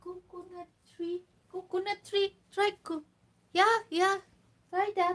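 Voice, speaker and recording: With a Visayan Filipino accent, a woman speaks at an extremely high pitch in a flat monotone, very slowly, with big swings in loudness and long, frequent pauses. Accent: Filipino (Cebuano) English. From Philippines, Cebu. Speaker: livestreamer, mother. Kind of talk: casual livestream chat.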